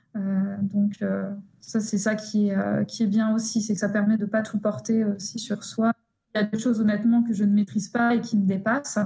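Her voice is fairly high, and she is a woman speaking at a moderate pace. The delivery is monotone and flat, with very even loudness. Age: 20s. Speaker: psychologist and researcher. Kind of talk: interview. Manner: halting, many repetitions.

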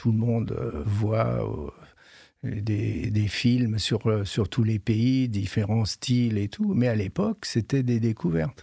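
On a very clean recording with a silent background and a dry, close sound with no echo, a man speaks at a very slow pace in a dark, mellow tone at medium pitch. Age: 70s. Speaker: retired head gardener. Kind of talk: interview. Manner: halting, with many hesitations.

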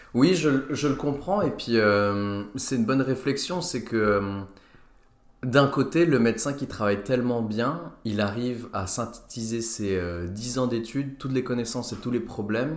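With audible room echo around him, a man speaks at a moderate pace and medium pitch with ordinary pitch variation. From Lorraine, France (Nancy). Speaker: stand-up comedian and doctor. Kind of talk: casual chat. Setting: home recording.

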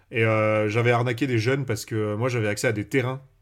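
A man's somewhat breathy, monotone, flat voice is heard in a very clean recording with a silent background. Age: 20s. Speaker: Magic content creator. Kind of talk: casual chat.

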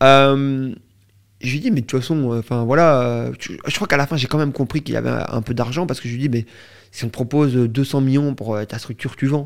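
Recorded very cleanly against a silent background, a man speaks at a fairly quick pace and medium pitch with ordinary pitch variation. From Belgium. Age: 20s. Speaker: entrepreneur. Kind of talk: interview, casual chat. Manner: animated, energetic.

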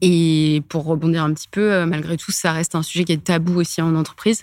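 A woman speaks with a fairly low pitch. Her intonation is flat and monotone. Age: 30s. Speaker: corporate lawyer. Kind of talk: casual interview.

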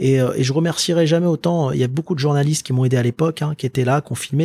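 A somewhat breathy man's voice, fairly high for a man, with ordinary pitch variation and a dry, close sound without echo. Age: 30s. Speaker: entrepreneur. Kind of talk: interview. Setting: office.

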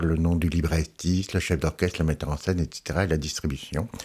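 A man talks in a very deep, low pitch with ordinary pitch variation. The recording is very clean, with a silent background. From Alsace, France. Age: 60s. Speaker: opera publications editor. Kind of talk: interview. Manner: halting.

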